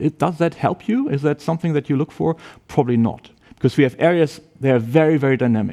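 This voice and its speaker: A man with a German accent talks at a very fast pace and a fairly high pitch, his tone dark and mellow with ordinary pitch variation, in a dry, close sound with no echo. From Germany. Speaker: university professor. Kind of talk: presentation to prospective students.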